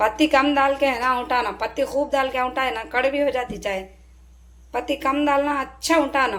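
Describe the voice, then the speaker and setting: A woman speaks loudly at a moderate pace in a high voice. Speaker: family vlogger, homemaker. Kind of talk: casual vlog narration.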